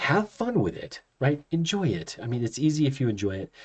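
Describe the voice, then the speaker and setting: Very wide swings in pitch from a man's somewhat breathy voice. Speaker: chiropractor and college instructor. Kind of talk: lecture. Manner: fast; casual, with fillers.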